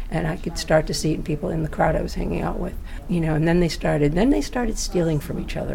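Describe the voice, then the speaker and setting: Lively intonation from a woman, set against noticeable background noise. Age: 60s. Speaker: patient sharing health story. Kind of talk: personal testimony. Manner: halting.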